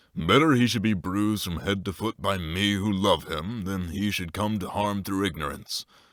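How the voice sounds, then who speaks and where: A man puts on a character voice at a fairly low pitch. He keeps a moderate pace with hardly any pauses. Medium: read story. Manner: earnest, fatherly, slightly gruff.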